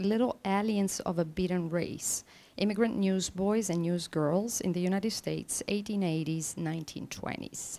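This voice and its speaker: Speaking at a fairly slow pace, a woman has a medium pitch, a dark, mellow tone and ordinary pitch variation. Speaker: academic panel chair. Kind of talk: conference panel introduction. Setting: conference room with audience. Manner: formal. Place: hall. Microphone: podium.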